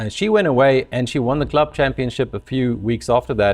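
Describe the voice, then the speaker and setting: A man speaks in a South African accent. His background is quiet. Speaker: company founder and CEO. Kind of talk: webinar presentation, storytelling. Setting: live webinar.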